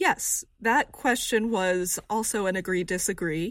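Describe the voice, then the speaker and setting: A woman talks at a medium pitch with ordinary pitch variation and an American accent, in a plain, everyday voice. The recording is very clean, with a silent background. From rural Texas. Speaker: survey research director. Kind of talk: interview explaining survey findings.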